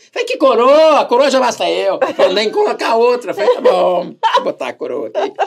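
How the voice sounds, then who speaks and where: A man talking fairly quickly with hardly any pauses over noticeable background noise. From Brazil. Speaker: radio host and salesman. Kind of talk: casual interview chat. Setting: studio with camera. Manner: animated.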